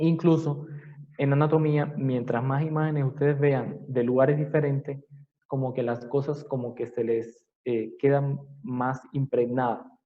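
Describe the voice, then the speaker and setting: A man talks at a fairly high pitch, and audible room echo can be heard. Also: fairly even intonation, fairly slow pace. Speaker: anatomy professor. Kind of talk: lecture.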